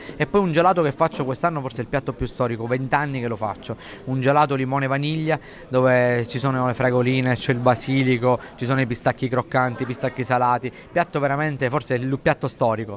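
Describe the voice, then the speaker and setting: A man speaks at a very fast pace with fairly even intonation. There is light background noise. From Sicily. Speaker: chef. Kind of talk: interview answer. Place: hall. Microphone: lapel.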